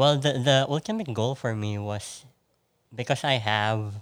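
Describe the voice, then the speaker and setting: The speaker has a Filipino accent. The pace is fairly slow. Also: man. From Philippines. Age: 30s. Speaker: podcast guest. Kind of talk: casual chat.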